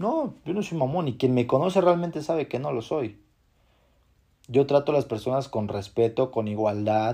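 Against a quiet background, a man with a Mexican accent speaks at a medium pitch and a moderate pace, his tone dark and mellow with ordinary pitch variation. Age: 20s. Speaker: podcast host. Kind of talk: motivational monologue.

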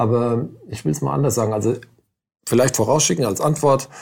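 A man talks with vocal fry. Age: 50s. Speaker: lawyer. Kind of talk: interview. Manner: halting.

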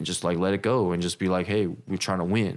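Very deep and low, a man's voice moves at a fairly quick pace with ordinary pitch variation on a very clean recording with a silent background. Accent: DC area. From Silver Spring, Maryland (DC area). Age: 30s. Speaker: clothing brand owner. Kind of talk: casual chat.

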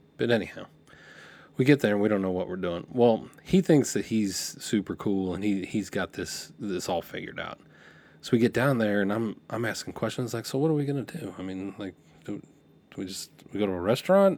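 Fairly low-pitched man with lively intonation and a fairly quick pace in a very clean recording with a silent background. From California (Lompoc, central coast). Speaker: podcast host. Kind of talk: storytelling monologue. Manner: casual, filler-heavy with repetitions.

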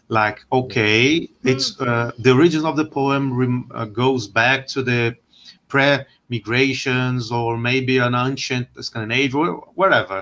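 Speaking fairly slowly with a Portuguese accent, a man uses a medium pitch and a bright, sharp tone. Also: fairly even intonation. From Brazil. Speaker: historian and lecturer. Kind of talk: casual interview. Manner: halting.

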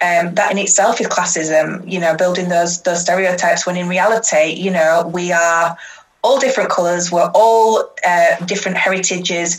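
Speech comes at a moderate pace. The intonation is fairly even. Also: woman, fairly low pitch for a woman. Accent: Yorkshire. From Yorkshire, Huddersfield. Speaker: social justice activist. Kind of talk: casual interview chat.

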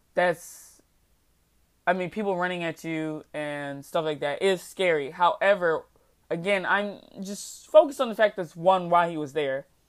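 An ordinary speaking voice, a woman's with a fairly low pitch and ordinary pitch variation, moves at a moderate pace with big swings in loudness on a very clean recording with a silent background. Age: 20s. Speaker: podcast host. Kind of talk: solo commentary monologue. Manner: casual, laughing often.

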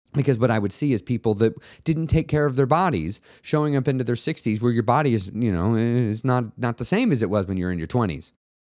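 Over a silent background on a very clean recording, a man talks very fast with lively intonation. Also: medium pitch for a man. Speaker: weight loss coach and podcast host. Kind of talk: motivational monologue.

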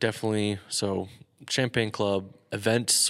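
On a very clean recording with a silent background, a man with a normal speaking voice talks at a fairly low pitch with fairly even intonation. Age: 20s. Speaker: podcast co-host and wedding videographer. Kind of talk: casual chat. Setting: echoey garage studio. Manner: casual, chatty, interrupts often.

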